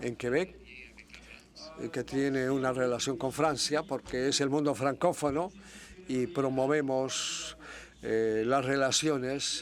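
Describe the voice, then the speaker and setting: Speaking at a very slow pace, a man holds a fairly high pitch and fairly even intonation. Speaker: university researcher. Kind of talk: conference presentation. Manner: hesitant, many fillers.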